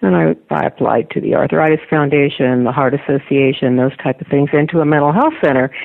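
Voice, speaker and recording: With noticeable background noise behind her, a woman with a very deep, low pitch talks at a fairly quick pace. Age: 80s+. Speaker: author and retired mental health educator. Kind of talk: interview.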